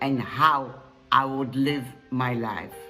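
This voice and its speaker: A woman's voice over music in the background. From Poland. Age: 80s+. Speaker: Holocaust survivor. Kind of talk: commencement address.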